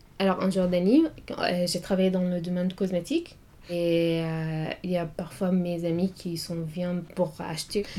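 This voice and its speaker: A woman with an Arabic accent speaks at a fairly slow pace, fairly low in pitch, in a dark, mellow tone with monotone, flat intonation. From Syria. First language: Arabic (speaking French). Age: 20s. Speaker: student. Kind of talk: interview. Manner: halting.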